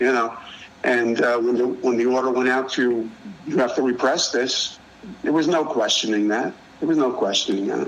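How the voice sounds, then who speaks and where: Over noticeable background noise and audible room echo, a man talks at a moderate pace and medium pitch, with ordinary pitch variation and very even loudness. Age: 60s. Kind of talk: casual chat. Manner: halting.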